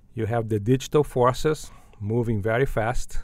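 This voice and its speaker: Speaking with a Portuguese accent, a man talks at a medium pitch and a fairly slow pace. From Brazil, Belo Horizonte. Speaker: business school dean. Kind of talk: interview. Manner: halting, many fillers and repetitions.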